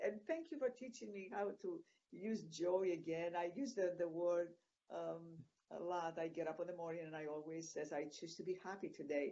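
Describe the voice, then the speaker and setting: Her pitch fairly low for a woman, she speaks at a moderate pace with a dark, mellow tone and ordinary pitch variation. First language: Greek. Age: 60s. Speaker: retreat producer. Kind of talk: interview. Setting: video call. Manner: halting.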